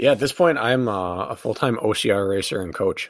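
A man uses an ordinary speaking voice, fairly low in pitch. His pace is moderate. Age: 30s. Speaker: professional obstacle course racer and endurance coach. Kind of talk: casual interview chat. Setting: studio.

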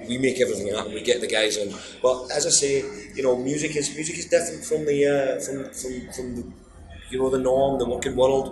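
Amid noticeable background noise and audible room echo, a man with a Glaswegian accent talks at a fairly quick pace in a medium pitch with fairly even intonation. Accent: Glaswegian Scottish. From Scotland. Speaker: blues guitarist and singer. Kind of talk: interview.

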